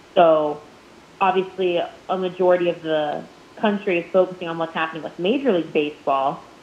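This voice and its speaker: Amid noticeable background noise, a woman with a fairly low pitch and ordinary pitch variation talks at a fairly quick pace. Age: 20s. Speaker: minor league baseball play-by-play broadcaster. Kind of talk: casual interview.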